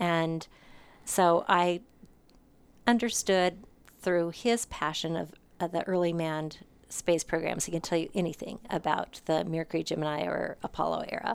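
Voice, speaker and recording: A woman with an American accent speaks at a moderate pace in a fairly low pitch. Her intonation is fairly even, and she leaves long, frequent pauses. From Montana. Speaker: museum spokesperson. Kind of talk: interview. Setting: at the museum.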